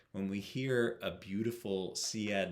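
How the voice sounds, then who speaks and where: This is an ordinary speaking voice from a man. His pitch is fairly low, with ordinary pitch variation. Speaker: guitar teacher. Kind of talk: tutorial.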